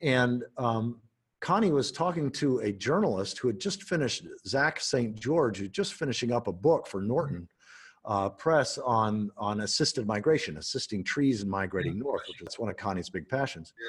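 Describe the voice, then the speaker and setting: A man's somewhat breathy voice at medium pitch, with very wide pitch swings and a moderate pace. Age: 60s. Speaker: podcast host. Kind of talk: casual chat.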